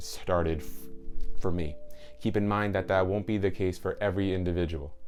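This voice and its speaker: Music plays in the background as a man talks at a very deep, low pitch. His pitch variation is ordinary. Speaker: mental health video creator. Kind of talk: personal storytelling to camera. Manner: halting.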